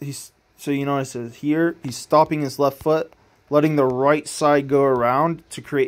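A man talks at a fairly slow pace. His fairly high voice stays monotone and flat. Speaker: throwing coach analyzing technique. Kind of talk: video technique breakdown. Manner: halting, stuttering.

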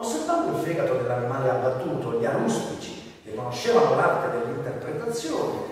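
Strong room echo surrounds the voice. A man talks at a moderate pace. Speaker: voice actor (dubbing). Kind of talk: storytelling of a legend to an audience. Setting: town hall room, live event. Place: hall.

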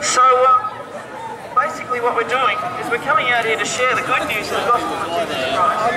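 Speech at a moderate pace runs with hardly any pauses against loud background noise. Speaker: street preacher. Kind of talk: street preaching. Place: street.

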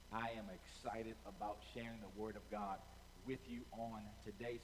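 Fairly slow speech from a man over light background noise. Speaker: pastor. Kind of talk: sermon opening, direct address to online viewers. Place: stage. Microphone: headset.

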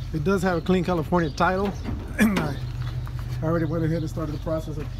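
A very fast pace over noticeable background noise. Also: man. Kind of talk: casual vlog walkaround. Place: open country. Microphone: phone near.

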